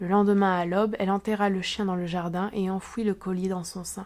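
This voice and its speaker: On a very clean recording with a silent background, a woman speaks at a moderate pace. Her pitch is medium and her intonation is monotone and flat. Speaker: literature teacher and booktuber. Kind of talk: read-aloud short story.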